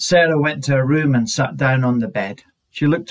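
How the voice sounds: Quiet surroundings behind a natural reading voice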